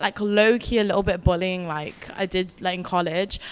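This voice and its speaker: With crowd noise in the background, a woman speaks in a northern accent. Her pace is moderate. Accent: northern, heard as Scouse in London. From northern England, Wirral. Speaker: artist. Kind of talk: panel discussion.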